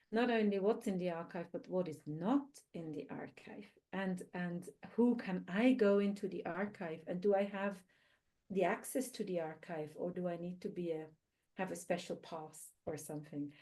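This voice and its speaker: A woman with a non-native accent, a medium pitch, a dark, mellow tone, ordinary pitch variation and a moderate pace. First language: not English. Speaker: researcher, panelist. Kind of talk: panel discussion.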